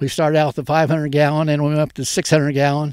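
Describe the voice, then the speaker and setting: The recording is very clean, with a silent background and a dry, close sound free of echo. The speaker has an American accent. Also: man. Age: 80s+. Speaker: farmer. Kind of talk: casual interview. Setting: outdoors. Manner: halting.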